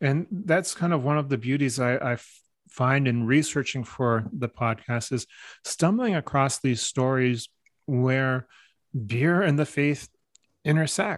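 A man speaks with a Canadian accent in an unremarkable speaking voice. The sound is dry and close with no echo, and his pitch varies in an ordinary way. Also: medium pitch for a man, fairly slow pace. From Canada, French and English Canadian family. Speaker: podcast co-host. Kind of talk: casual chat. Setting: studio with podcast microphones.

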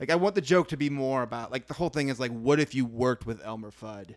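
A man with a normal speaking voice talks at a fairly quick pace and a medium pitch, with ordinary pitch variation. The recording is very clean, with a silent background and a dry, close sound with no echo. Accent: American. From US Midwest. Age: 30s. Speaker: comedian. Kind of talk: casual chat.

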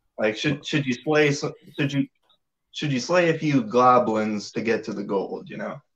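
Speaking at a moderate pace, a man uses an ordinary speaking voice with a fairly high pitch and lively intonation. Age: 20s. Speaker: caller. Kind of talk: call-in conversation.

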